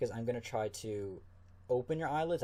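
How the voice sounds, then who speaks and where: A man's dark, mellow, somewhat breathy voice at a fairly quick pace, with ordinary pitch variation. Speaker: ASMR creator. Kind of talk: ASMR medical exam role play. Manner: soft-spoken, calm.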